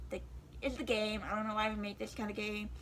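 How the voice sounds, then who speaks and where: A woman talks at a very fast pace, and there is audible room echo. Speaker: YouTuber. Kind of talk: casual vlog talk to camera. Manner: hesitant, many fillers.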